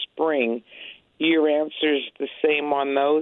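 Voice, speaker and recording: A woman with a very deep, low pitch and an American accent. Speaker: caller. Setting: phone call.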